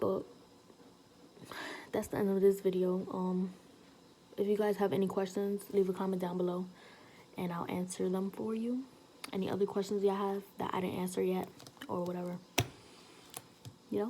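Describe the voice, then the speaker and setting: A soft-spoken woman at a medium pitch, monotone and flat, moderate in pace, with long, frequent pauses. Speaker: beauty vlogger. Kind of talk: casual vlog.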